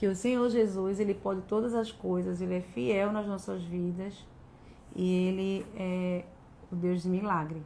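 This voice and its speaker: A woman speaks at a fairly slow pace in a dark, mellow tone, with long, frequent pauses. Her pitch varies in an ordinary way, and room echo is audible. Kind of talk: devotional talk. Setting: live stream. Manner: speaks as if tongue-tied.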